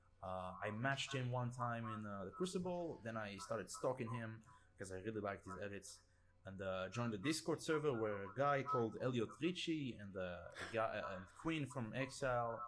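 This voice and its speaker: A man with a non-native accent is speaking. His pitch is medium and his intonation lively. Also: moderate pace. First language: not English. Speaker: gaming video editor. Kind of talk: casual podcast chat. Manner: hesitant, many fillers.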